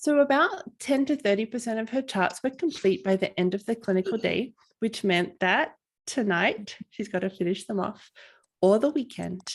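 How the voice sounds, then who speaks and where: A woman with an Australian accent speaks at a moderate pace, her fairly high voice rising and falling in lively intonation. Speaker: family physician and coach. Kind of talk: webinar presentation.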